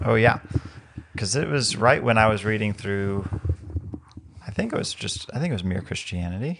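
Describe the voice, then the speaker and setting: Over noticeable background noise, a man with a fairly low pitch speaks at a moderate pace with ordinary pitch variation and long, frequent pauses. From Mexico. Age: 20s. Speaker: podcast co-host. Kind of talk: casual chat.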